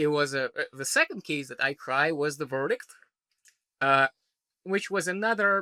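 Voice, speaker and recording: With a Belarusian accent, a man speaks in a fairly high, bright, sharp voice with ordinary pitch variation and long, frequent pauses, the sound dry and close with no echo. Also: moderate pace, very clean recording, silent background. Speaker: trial lawyer. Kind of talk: podcast interview answer. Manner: casual, conversational.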